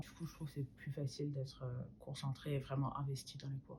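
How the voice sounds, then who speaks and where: A woman's very deep, low voice, somewhat breathy. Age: 20s. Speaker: university student. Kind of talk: student testimony. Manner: hesitant, many fillers.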